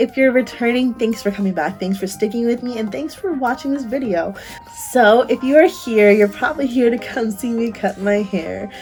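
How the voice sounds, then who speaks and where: With music in the background, a woman speaks at a moderate pace in a fairly high voice with ordinary pitch variation. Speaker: beauty vlogger. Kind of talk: casual talk to camera.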